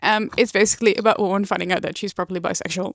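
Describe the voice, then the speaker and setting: In a dry, close sound with no echo, a woman with a Dutch accent speaks in a flat monotone. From Netherlands. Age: 20s. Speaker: book vlogger. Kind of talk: casual book review vlog. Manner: casual with many fillers.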